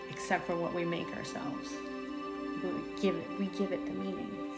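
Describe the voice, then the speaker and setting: Loud music plays in the background as a woman speaks at a moderate pace. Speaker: spiritual content creator. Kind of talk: casual vlog chat. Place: home room.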